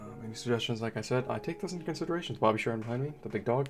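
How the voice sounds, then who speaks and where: A man talks at a very fast pace in a medium pitch, his voice making very wide pitch swings over noticeable background noise. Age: young. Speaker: gaming youtuber. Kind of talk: gameplay commentary. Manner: mellow; soft-spoken.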